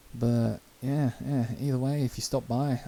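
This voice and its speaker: In a dark, mellow tone, a man speaks at a moderate pace with monotone, flat intonation. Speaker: gaming streamer. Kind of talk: live stream chat. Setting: live stream at home. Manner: casual, rambling with fillers.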